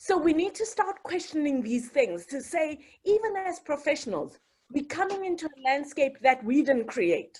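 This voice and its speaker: With very wide pitch swings, a woman talks in a high pitch at a moderate pace. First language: not English. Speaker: communications professional, panelist. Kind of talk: panel discussion. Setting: video call webinar.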